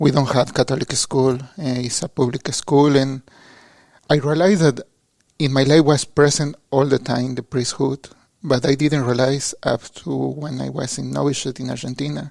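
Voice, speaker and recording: The sound is dry and close, with no echo. A man in a Mexican accent speaks with fairly even intonation. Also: medium pitch for a man, moderate pace. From Mexico, suburb of Mexico City. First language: Spanish. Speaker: seminarian. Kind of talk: interview. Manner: halting.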